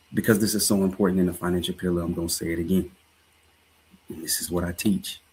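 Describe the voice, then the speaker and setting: Very deep and low, the man's voice carries a slight Southern US accent and a monotone, flat intonation. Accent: slight Southern drawl. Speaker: life and finance coach, livestream host. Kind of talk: livestream talk, motivational finance commentary. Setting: live stream.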